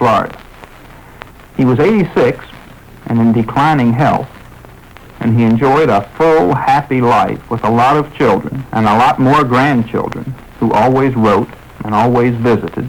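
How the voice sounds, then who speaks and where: Over noticeable background noise, a man speaks at a moderate pace and very even loudness, with long, frequent pauses. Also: medium pitch for a man, ordinary pitch variation. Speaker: radio host. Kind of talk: radio broadcast monologue. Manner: somber.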